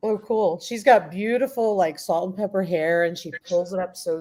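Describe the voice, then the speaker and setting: Her pitch varies in an ordinary way as a woman talks with an American accent. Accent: slight New York, comes out occasionally. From Queens, New York. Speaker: homesteading YouTuber, guest. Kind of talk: casual live chat.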